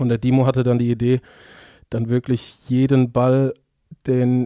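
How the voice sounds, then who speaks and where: The voice has a dark, mellow tone. The background is quiet. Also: man, dry sound with no echo. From Mainz, Germany; Germany. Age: 20s. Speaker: professional football goalkeeper; podcast guest. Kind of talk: casual interview. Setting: office. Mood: relaxed, anecdotal, humorous. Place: office. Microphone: headset.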